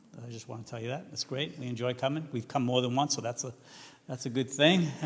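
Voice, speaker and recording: A man with a Massachusetts accent, medium pitch, at a fairly quick pace. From New England, Massachusetts. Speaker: missionary and seminary teacher. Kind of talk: vision-casting talk to a church team. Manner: halting with many fillers; loud and enthusiastic.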